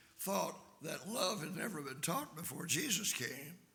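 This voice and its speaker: A man with a high pitch and lively intonation speaks at a moderate pace, with audible room echo around him. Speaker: visiting preacher. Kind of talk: sermon.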